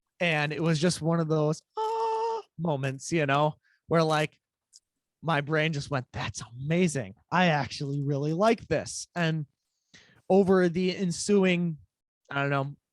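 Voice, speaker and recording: A fairly high-pitched man at a fairly slow pace, with ordinary pitch variation and long, frequent pauses, in a dry, close sound with no echo. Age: 20s. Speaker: musician, interview guest. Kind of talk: interview, personal testimony.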